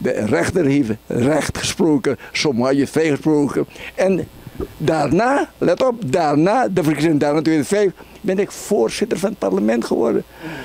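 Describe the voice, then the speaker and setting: The voice has very wide pitch swings and a Surinamese accent. It moves at a fairly slow pace, and the sound is dry with no echo. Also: man, fairly high pitch for a man. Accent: Surinamese Dutch. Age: 80s+. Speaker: party chairman, politician. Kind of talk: interview. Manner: animated. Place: home room. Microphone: handheld.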